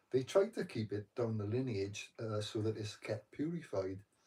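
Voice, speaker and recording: Soft-spoken and somewhat breathy, a man talks at a fairly slow pace in a medium pitch, with a dark, mellow tone and ordinary pitch variation. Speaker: meditation vlogger. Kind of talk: casual chat. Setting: live stream from bedroom at night.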